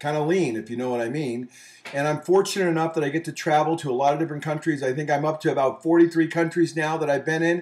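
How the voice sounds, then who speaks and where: In an animated tone, a man speaks at a very fast pace and a fairly high pitch. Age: 50s. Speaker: business show host and lean speaker. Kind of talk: video monologue introducing a photo series.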